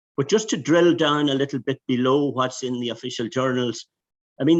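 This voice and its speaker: A man's medium-pitched voice with a Donegal accent, ordinary pitch variation and a fairly quick pace. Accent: Donegal Irish. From Ireland, Donegal. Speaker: EU anti-fraud official. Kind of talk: webinar presentation. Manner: halting, many restarts.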